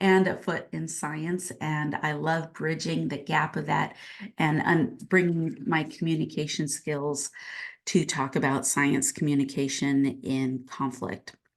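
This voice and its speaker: Against a quiet background, a woman talks at a fairly slow pace in a very deep, low voice with vocal fry and ordinary pitch variation. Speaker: professor. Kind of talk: lecture. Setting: home office. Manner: unscripted, with fillers.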